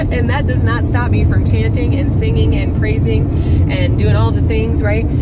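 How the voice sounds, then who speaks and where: A woman with a very deep, low pitch speaks at a moderate pace, her pitch swinging very widely while her loudness stays very even. Audible room echo and noticeable background noise fill the recording. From US Midwest, Whiting, Indiana. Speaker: vlogger and life coach. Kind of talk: casual vlog talk to camera. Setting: outdoors by a lake. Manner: animated.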